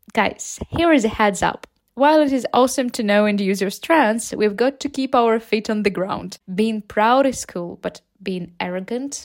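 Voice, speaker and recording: A woman speaks in a Ukrainian accent at a moderate pace and a fairly high pitch, with ordinary pitch variation. The sound is dry and close with no echo. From Ukraine. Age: 20s. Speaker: English teacher and podcaster. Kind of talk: motivational talk for English learners.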